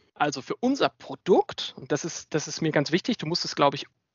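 A man with a normal speaking voice talks at a fairly quick pace and a fairly high pitch. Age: 30s. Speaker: software startup founder. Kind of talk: interview. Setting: video call.

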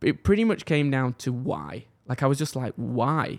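The recording is very clean, with a silent background. Pitch varies in an ordinary way. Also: man. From northwest England. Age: 20s. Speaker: podcast host. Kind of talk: casual chat. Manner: nervous, open.

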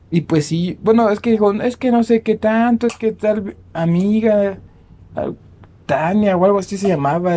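Speaking with a Mexican accent, a man uses a high pitch and a dark, mellow tone, keeping a fairly slow pace and fairly even intonation. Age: 20s. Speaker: podcast co-host. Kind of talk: casual chat.

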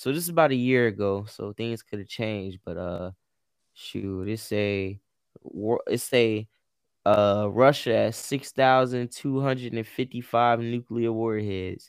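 A man at medium pitch, fairly slow in pace, with ordinary pitch variation. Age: 20s. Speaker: entrepreneur and co-host. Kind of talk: casual chat. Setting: remote call from home.

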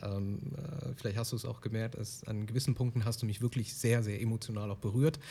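A somewhat breathy man on a very clean recording with a silent background. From Germany. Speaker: podcast host. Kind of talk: interview.

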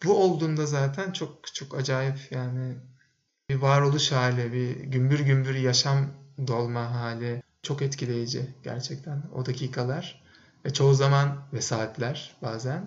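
Somewhat breathy and medium-pitched, a man talks at a very slow pace with fairly even intonation. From Turkey, Bursa. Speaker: podcast co-host, men's circle facilitator. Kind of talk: casual interview chat.

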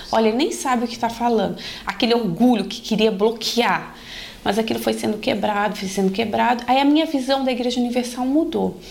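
A woman with a fairly high voice talks at a fairly quick pace with ordinary pitch variation, amid noticeable background noise and audible room echo. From Brasília, Brazil, family from Paraíba. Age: 30s. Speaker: lawyer, church member. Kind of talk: testimony.

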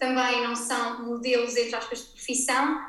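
Over noticeable background noise, a woman talks at a fairly quick pace in a high pitch. Her intonation stays monotone and flat. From Portugal, Algarve. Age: 20s. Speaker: ceramics brand owner. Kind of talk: interview. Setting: her studio, remote recording.

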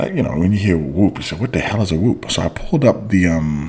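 A man speaking over noticeable background noise. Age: 40s. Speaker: judo coach and podcast host. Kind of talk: casual monologue podcast.

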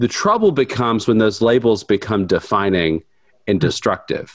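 This man talks at a medium pitch with lively intonation in a plain, everyday voice. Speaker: Methodist minister working with college students.

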